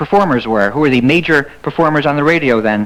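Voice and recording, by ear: This man speaks fast in a fairly bright tone, his pitch fairly high for a man with ordinary variation.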